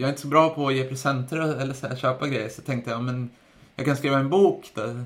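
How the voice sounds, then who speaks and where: A man speaks at a fairly quick pace in a medium pitch with fairly even intonation. It is an unremarkable speaking voice. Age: 30s. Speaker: podcast host and runner. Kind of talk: interview as guest, casual chat.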